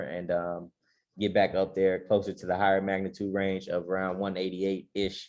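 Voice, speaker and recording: The background stays quiet. A man talks in a very deep, low pitch. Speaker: stock trading educator, co-host. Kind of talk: stock market analysis show. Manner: fast; casual, energetic.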